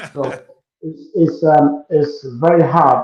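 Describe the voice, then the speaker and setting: A man with an African accent, speaking at a very slow pace. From Ghana. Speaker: musician and entrepreneur. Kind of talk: interview.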